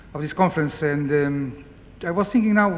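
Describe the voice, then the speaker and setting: With audible room echo around him, a man speaks at a fairly quick pace with ordinary pitch variation. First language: Portuguese. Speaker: academic, research centre director. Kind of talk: conference opening speech. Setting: lecture room with audience. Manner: halting, many repetitions.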